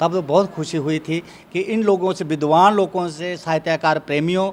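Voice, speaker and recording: His pitch varies in an ordinary way. This man's voice is high-pitched. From Jammu region, Kathua. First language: Dogri (speaking Hindi). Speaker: writer and retired teacher. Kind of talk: interview. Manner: halting.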